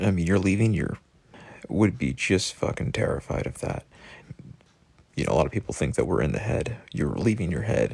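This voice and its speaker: With lively intonation and vocal fry, a man with a very deep, low voice talks at a fairly quick pace, broken by long, frequent pauses. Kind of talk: reflective monologue. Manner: somber.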